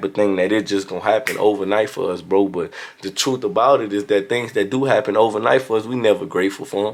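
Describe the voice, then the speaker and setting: A man speaks at a fairly quick pace in a strong Louisiana accent. His voice is fairly low-pitched, with fairly even intonation. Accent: Louisiana southern accent, strong. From Louisiana, US South. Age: young. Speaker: motivational vlogger. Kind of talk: motivational talk. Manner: casual.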